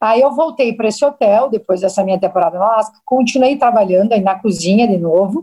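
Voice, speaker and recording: Very fast delivery with hardly any pauses, in a dark, mellow tone. Loudness stays very even while pitch varies in an ordinary way. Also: woman, fairly high pitch for a woman. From southern Brazil, Paraná interior (Maringá). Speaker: chef. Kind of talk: casual interview.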